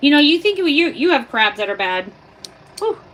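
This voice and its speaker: A woman speaks loudly. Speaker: livestreamer. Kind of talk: live stream tutorial. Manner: casual.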